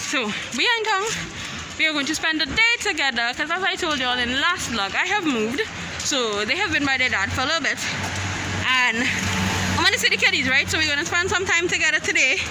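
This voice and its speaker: Very fast speech over loud background noise. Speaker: vlogger mother. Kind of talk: casual vlog chat. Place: street. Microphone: phone near.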